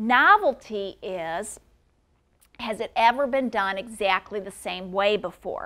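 Against a quiet background, a voice with a bright, sharp tone and a Midwestern American accent moves at a fairly slow pace, with ordinary pitch variation and big swings in loudness. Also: woman. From US Midwest, St. Louis, Missouri; Missouri. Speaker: patent attorney; intellectual property attorney. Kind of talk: lecture.

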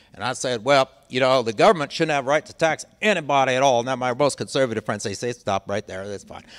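Speaking very fast with hardly any pauses, a man with an American accent uses a medium pitch and ordinary pitch variation. His loudness swings widely against a quiet background. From US Midwest. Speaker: law professor and former government ethics lawyer; law professor, former government ethics lawyer. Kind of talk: public lecture. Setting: library talk with live audience. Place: hall. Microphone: handheld.

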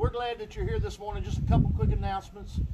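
Loud background noise behind a man speaking. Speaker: pastor. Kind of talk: church announcements. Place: church. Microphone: camera far.

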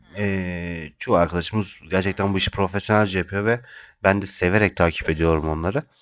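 A man with a very deep, low voice talks fairly quickly with fairly even intonation. The recording is very clean and the background silent. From Turkey, Kocaeli (Izmit). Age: 30s. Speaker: gaming youtuber. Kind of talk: gameplay commentary. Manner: hesitant, many filler sounds.

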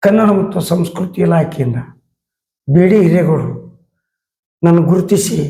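A man's high, dark, mellow voice with ordinary pitch variation and audible room echo. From North Karnataka. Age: old. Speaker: theater artist. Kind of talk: interview. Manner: halting.

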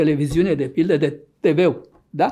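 A man's voice carries a dark, mellow tone over a quiet background. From Romania, Argeș county; Romania. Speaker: neurologist and author; guest. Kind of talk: interview. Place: studio.

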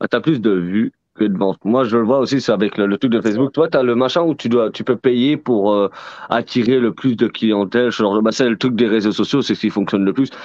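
Talking at a fairly quick pace, a man has a normal speaking voice at medium pitch with ordinary pitch variation. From France. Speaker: book fair organizer and host. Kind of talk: casual live chat. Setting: video call.

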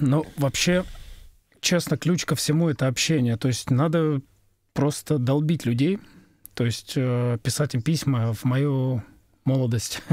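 A man talks at a very slow pace with long, frequent pauses, very even loudness and ordinary pitch variation, in a very clean recording with a silent background. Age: middle-aged. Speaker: sound engineer. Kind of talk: casual chat.

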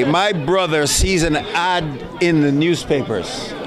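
A fairly high-pitched man at a very slow pace, with noticeable background noise. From Jamaica. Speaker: actor. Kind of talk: interview answer. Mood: jovial, laughing. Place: hall. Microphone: handheld.

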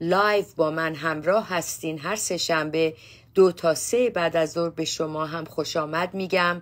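A woman speaks in an ordinary speaking voice at a moderate pace. Her pitch is fairly low and her intonation fairly even. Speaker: psychotherapist hosting a show. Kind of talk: talk show host introduction. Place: office. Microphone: phone near.

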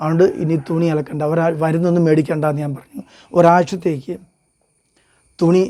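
This man has a dark, mellow tone and a fairly high pitch. His intonation stays fairly even. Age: 50s. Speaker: vlogger sharing personal health experience. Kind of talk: personal testimony monologue.

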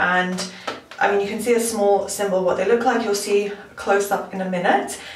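A woman with a fairly high pitch and ordinary pitch variation talks over light background noise, with audible room echo. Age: 20s. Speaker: beauty vlogger. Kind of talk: product review. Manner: casual. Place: bathroom.

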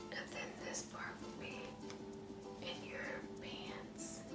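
A woman speaks at a very slow pace over loud music in the background. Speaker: ASMR vlogger. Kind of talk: ASMR clothing try-on haul. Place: home room. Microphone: phone near.

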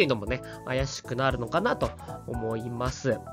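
The voice belongs to a man. Music can be heard in the background. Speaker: baseball fan commentator. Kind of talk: casual sports commentary.

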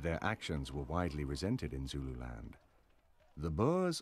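A man with a very deep, low pitch delivers his words in a dramatic tone with vocal fry. His intonation is lively and his pace moderate. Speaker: documentary narrator. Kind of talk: scripted documentary narration. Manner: formal, measured, dramatic.

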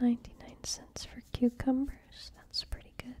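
The speaker is soft-spoken over light background noise. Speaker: vlogger planning grocery shopping. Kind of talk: casual vlog chat. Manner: soft-spoken, quiet ASMR voice. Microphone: phone near.

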